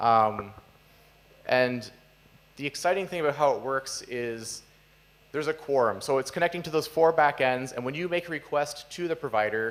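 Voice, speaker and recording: Pausing long and often, a man talks with a fairly high pitch and ordinary pitch variation. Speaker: software developer giving conference talk; conference speaker. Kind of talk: conference talk. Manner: fast. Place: hall.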